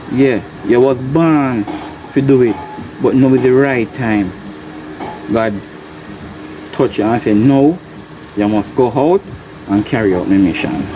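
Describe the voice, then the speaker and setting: Over noticeable background noise, the speech goes at a fairly slow pace with long, frequent pauses. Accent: Jamaican. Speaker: farmer and video blogger. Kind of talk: casual monologue to camera. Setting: greenhouse.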